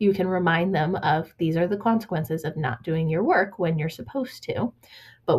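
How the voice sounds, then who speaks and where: A woman's fairly low, somewhat breathy voice with lively intonation. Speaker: educational consultant. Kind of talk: recorded training presentation.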